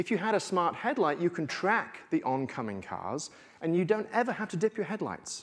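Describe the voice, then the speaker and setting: Speaking with a strong English accent, a man uses a high pitch and lively intonation at a moderate pace, recorded very cleanly against a silent background. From England. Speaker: tech futurist speaker. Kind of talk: conference keynote talk. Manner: animated.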